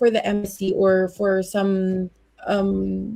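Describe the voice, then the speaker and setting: Here a woman speaks in a dark, mellow tone. Her voice is somewhat breathy. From Philippines. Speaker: activist. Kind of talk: interview conversation.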